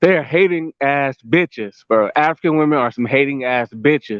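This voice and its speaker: A man with a plain, everyday voice in an American accent, fairly high in pitch, with ordinary pitch variation and a moderate pace. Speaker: vlogger. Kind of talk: casual rant to camera. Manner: repetitive, conversational with fillers.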